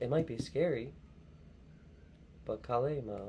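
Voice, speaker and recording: A man with an American accent has a dark, mellow tone marked by vocal fry. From US Northeast, southeastern Pennsylvania (Bucks County). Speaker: tarot and oracle card reader. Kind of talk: spiritual card reading monologue. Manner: halting, with fillers and repetitions.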